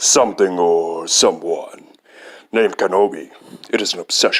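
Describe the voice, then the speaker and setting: Using a put-on character voice, a man speaks at a moderate pace. His pitch is fairly low. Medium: fan dub. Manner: earnest, blunt.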